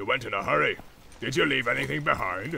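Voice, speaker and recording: With a menacing tone, a man speaks at a fairly quick pace over noticeable background noise. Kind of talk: audiobook character voices. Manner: growling, menacing orc voice.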